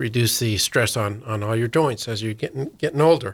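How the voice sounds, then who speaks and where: This man has a normal speaking voice at a medium pitch, talking at a moderate pace on a very clean recording with a silent background. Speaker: county government official. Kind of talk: radio interview. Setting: studio.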